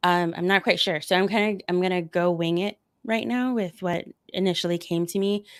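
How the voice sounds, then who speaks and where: The recording is very clean, with a silent background. A woman with a medium-pitched voice talks at a fairly quick pace and fairly even intonation. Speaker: doctor of Oriental medicine. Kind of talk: Q&A on a livestreamed summit panel. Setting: virtual summit livestream.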